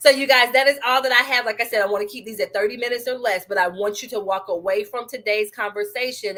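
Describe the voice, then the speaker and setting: The tone is animated. It also sounds bright and sharp. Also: woman. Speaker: business coach. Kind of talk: live stream sales pitch. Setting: live stream video.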